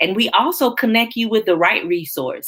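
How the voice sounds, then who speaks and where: At a fairly quick pace, a woman talks in a Southern accent. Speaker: founder of a nonprofit for abuse survivors. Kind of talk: interview.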